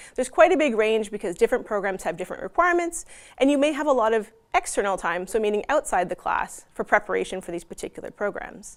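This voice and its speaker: A woman with a non-native accent speaks very fast at a fairly high pitch, her voice making very wide pitch swings. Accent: non-Dutch. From Canada. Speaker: university representative. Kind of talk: conference presentation.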